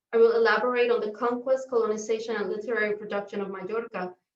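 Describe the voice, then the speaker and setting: This woman speaks at a fairly quick pace and a fairly high pitch. Her intonation stays monotone and flat. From Puerto Rico. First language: Spanish. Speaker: professor. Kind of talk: academic talk read from script. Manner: formal.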